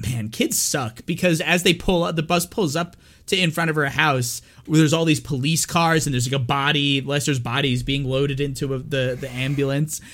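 This is an unremarkable speaking voice from a man, fairly high in pitch with ordinary pitch variation. He speaks at a fairly quick pace on a very clean recording with a silent background. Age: 30s. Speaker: horror movie podcast co-host. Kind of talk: casual chat. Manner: frequent laughter.

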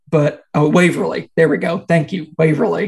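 A man with a Kentucky accent, somewhat breathy, at a fairly slow pace in a monotone, flat intonation. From central Kentucky. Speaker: podcast host. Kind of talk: casual chat.

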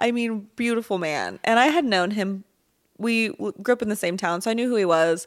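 On a very clean recording with a silent background, a woman talks in a normal speaking voice at a fairly high pitch, with ordinary pitch variation and a fairly quick pace. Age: 20s. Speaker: podcast co-host. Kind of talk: casual chat.

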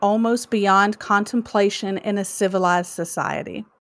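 Here a woman speaks at a very slow pace. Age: 30s. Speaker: podcast co-host. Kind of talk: reading prepared true crime story; casual chat.

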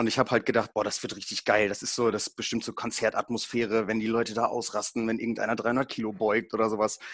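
A man talks at a very fast pace. His intonation stays monotone and flat. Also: medium pitch for a man. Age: 20s. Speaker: powerlifting event announcer. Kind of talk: casual chat.

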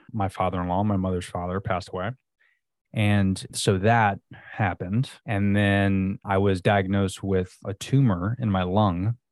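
With an American accent, a man talks at a fairly slow pace in a fairly low pitch. He has a normal speaking voice with fairly even intonation. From Florida. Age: 30s. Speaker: entrepreneur, subscription box co-founder. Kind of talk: casual interview.

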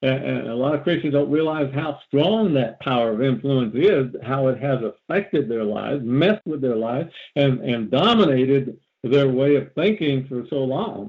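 A man uses a normal speaking voice, moving at a moderate pace with ordinary pitch variation. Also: medium pitch for a man. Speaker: deliverance preacher. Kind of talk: sermon. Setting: phone call.

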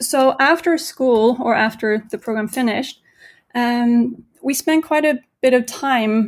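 A woman speaks with a Norwegian accent. Her voice sits fairly high. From Norway. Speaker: entrepreneur. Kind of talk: interview.

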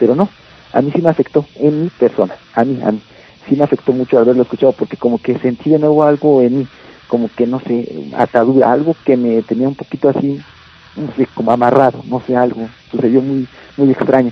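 A man talks in a normal speaking voice. His pitch is medium and his intonation fairly even. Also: fairly quick pace. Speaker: metal band vocalist. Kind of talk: radio interview.

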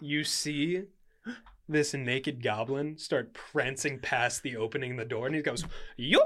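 This put-on character voice sits at a low-to-middle pitch and moves at a moderate pace. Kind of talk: comic overacting. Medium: actual play. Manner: sassy, indignant, comic.

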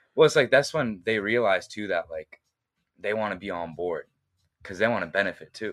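A man with a normal speaking voice and fairly low pitch talks at a fairly quick pace, his loudness swinging widely, in a dry, close sound with no echo. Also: lively intonation. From US, Boston area (Egyptian family, immigrated at 3-4). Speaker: film director and editor. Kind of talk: casual interview chat. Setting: in person, Boston.

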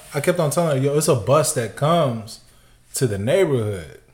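A man speaks at a moderate pace with lively intonation and a somewhat breathy sound. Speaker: sneaker podcast co-host. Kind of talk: casual chat. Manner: calm.

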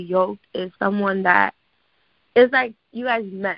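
A woman with an American accent has an unremarkable speaking voice, speaking at a fairly slow pace with ordinary pitch variation. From New York, the Bronx. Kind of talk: casual chat.

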